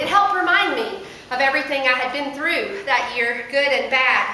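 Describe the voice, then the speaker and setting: Over noticeable background noise, a woman speaks at a moderate pace in a raised, projected voice. Her pitch is high. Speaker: pastor. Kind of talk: sermon delivered to a congregation.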